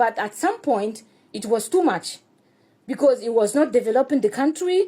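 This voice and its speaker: In a French accent, a woman speaks at a moderate pace with a high pitch, a dark, mellow tone and lively intonation. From Burkina Faso. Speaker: activist speaking about his country. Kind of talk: personal commentary. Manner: halting, non-native phrasing.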